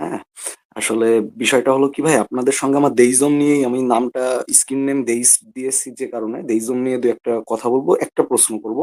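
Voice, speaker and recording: The voice is soft-spoken. Its intonation stays fairly even. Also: man, medium pitch for a man. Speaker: caller. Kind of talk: call-in debate. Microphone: too quiet.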